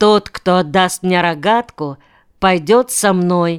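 Fairly even intonation in a natural reading voice

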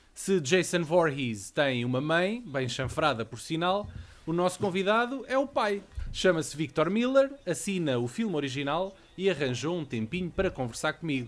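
Speaking at a moderate pace with a European Portuguese accent, a man uses a high pitch and very wide pitch swings while music plays in the background. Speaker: podcast host. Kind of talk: casual chat.

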